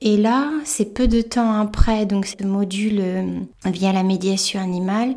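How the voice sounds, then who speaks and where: A woman speaks at a medium pitch in a dark, mellow tone that is somewhat breathy. Her intonation is monotone and flat. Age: 40s. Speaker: podcaster, animal communicator and shamanic practitioner. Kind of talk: personal monologue. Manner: halting, with frequent hesitations.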